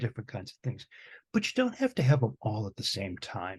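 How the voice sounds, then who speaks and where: A man speaks at a fairly quick pace and medium pitch, somewhat breathy, against a quiet background. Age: 60s. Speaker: music professor. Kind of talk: casual chat.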